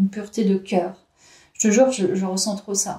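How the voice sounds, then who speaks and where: A woman with a medium-pitched, dark, mellow tone sounds somewhat breathy, speaking at a moderate pace with fairly even intonation. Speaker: tarot card reader. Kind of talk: tarot reading video. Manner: hesitant, with fillers.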